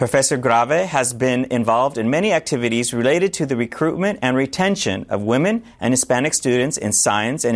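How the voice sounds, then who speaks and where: A man talks at a fairly quick pace with lively intonation and a medium pitch. It is a plain, everyday voice. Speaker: professor and interviewer. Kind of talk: moderated panel interview.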